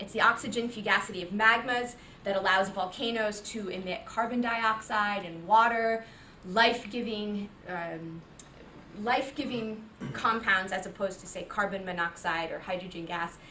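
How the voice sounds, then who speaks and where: Amid audible room echo, a woman at a medium pitch speaks at a moderate pace with ordinary pitch variation and big swings in loudness. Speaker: visiting geoscientist giving a seminar. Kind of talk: academic seminar talk.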